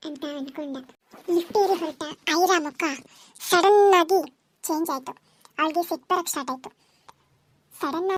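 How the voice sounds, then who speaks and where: A squeaky woman's voice rises to an extremely high pitch. She talks at a fairly slow pace. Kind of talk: serial audio story narration. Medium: read story.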